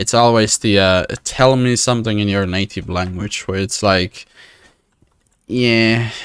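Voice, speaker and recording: A man speaks with a Finnish accent at a fairly low pitch. His pace is fairly slow, his intonation fairly even, in a very clean recording with a silent background. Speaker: video game streamer. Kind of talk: live gameplay commentary. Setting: live stream.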